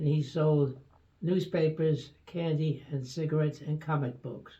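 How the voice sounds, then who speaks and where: A man talks at a fairly slow pace in a fairly high, somewhat breathy voice. His intonation is flat and monotone. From New York City, Brooklyn. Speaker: retired doctor. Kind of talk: interview. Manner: halting.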